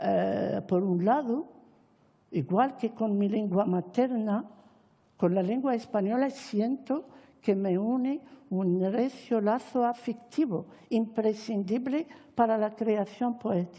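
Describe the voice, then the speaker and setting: A woman with an Arabic accent speaks at a very slow pace, her voice fairly high, somewhat breathy and dark and mellow in tone. Her loudness stays very even, and her pitch varies in an ordinary way. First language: Arabic (speaking Spanish). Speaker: Hispanist academic and poet. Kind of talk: formal speech at a panel. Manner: formal.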